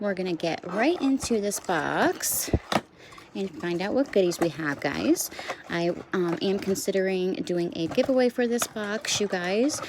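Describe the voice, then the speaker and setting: Over noticeable background noise, a woman speaks at a fairly slow pace. Her pitch is medium and her intonation lively. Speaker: nail art youtuber. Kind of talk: casual product review tutorial. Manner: chatty, filler words.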